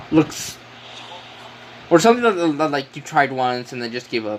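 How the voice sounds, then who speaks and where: A man's fairly high voice at a moderate pace over noticeable background noise. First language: Spanish. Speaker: game streamer. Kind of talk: casual live stream chat. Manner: halting, many fillers.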